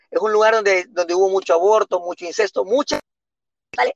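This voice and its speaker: A man's high-pitched voice at a fairly quick pace, dry and close with no echo. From Honduras, San Pedro Sula. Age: 30s. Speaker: pastor. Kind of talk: casual chat.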